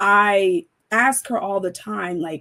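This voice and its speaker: A woman with a normal speaking voice and an American accent talks at a medium pitch with lively intonation. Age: 30s. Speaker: panel discussion guest. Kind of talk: panel discussion.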